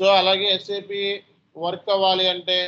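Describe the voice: The tone is bright and sharp, the pace moderate, and the intonation monotone and flat. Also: man, high pitch for a man.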